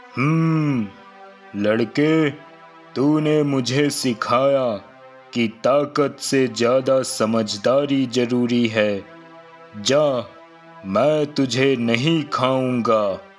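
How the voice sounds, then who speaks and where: A man puts on a cartoonish character voice at a medium pitch. He speaks at a very slow pace over clear music in the background. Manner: gruff, commanding.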